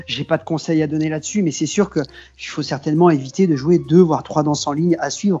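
A man's dark, mellow tone at a fairly high pitch. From western France, Maine-et-Loire near Cholet. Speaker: accordionist. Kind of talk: casual interview.

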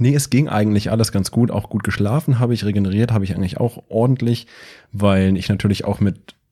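On a very clean recording with a silent background, a man talks fairly quickly in a dark, mellow tone with ordinary pitch variation. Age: 30s. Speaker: powerlifter and podcaster. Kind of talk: casual chat.

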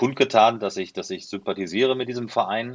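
A man's voice with ordinary pitch variation. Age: 40s. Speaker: football commentator. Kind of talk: casual interview. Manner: halting, many fillers.

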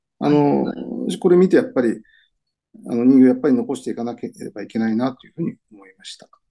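Very rapid speech from a man, his volume rising and falling sharply. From Aichi, Anjo. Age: 60s. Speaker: newspaper reporter. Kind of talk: interview. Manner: hesitant, many fillers.

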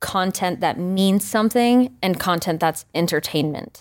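With an American accent and medium pitch, a woman speaks at a moderate pace in an unremarkable speaking voice, captured in a very clean recording with a silent background. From rural Maine, US. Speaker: R&B pop singer-songwriter. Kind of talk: casual interview chat. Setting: studio.

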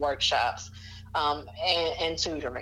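With an Alabama accent, a woman speaks at a moderate pace with lively intonation and vocal fry, with audible room echo. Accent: Southern US (Alabama). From US South, Mobile, Alabama. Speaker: writing and tutoring business owner. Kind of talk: interview.

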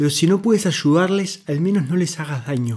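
Lively intonation from a man with a high voice. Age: 20s. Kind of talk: scripted monologue.

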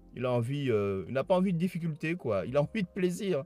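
A man talks at a moderate pace in an animated tone with lively intonation. The recording is very clean, with a silent background and a dry, close sound with no echo. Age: 50s. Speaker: podcast host, entrepreneurship coach. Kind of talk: motivational monologue. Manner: halting, repeats words.

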